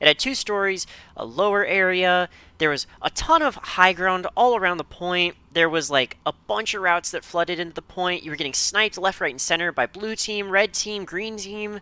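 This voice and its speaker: In a dry, close sound with no echo, a man with a high pitch uses a raised, projected voice, bright, sharp tone and animated delivery, moving at a moderate pace with ordinary pitch variation. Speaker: game map reviewer. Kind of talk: video commentary.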